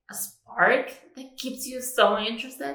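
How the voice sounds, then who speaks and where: Very slow delivery amid audible room echo. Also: woman. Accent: Spanish. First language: Spanish. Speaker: book vlogger. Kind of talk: casual chat. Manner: casual, with many fillers.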